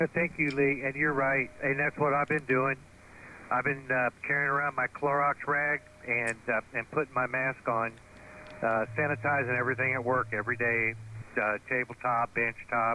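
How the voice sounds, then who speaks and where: At a moderate pace, a man speaks in a medium pitch with monotone, flat intonation and very even loudness. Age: 60s. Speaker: amateur radio operator. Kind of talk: radio contact chat. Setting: ham radio transmission. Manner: hesitant, many fillers.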